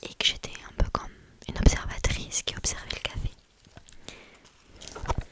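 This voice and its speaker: At a moderate pace, a woman whispers with big swings in loudness over noticeable background noise. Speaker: ASMR creator, student. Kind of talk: casual book review, talking about a novel. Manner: whispering, soft, chatty.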